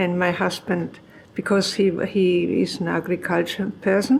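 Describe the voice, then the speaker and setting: A woman with a German accent at a very slow pace, medium pitch and fairly even intonation. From Germany. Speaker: farmer. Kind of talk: oral history interview.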